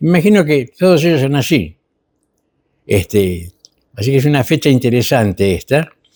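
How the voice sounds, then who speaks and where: At a moderate pace, a man swings his pitch very widely on a very clean recording with a silent background. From Argentina. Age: 70s. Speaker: historian commentator. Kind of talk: TV history chat. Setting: TV studio. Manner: hesitant, many fillers.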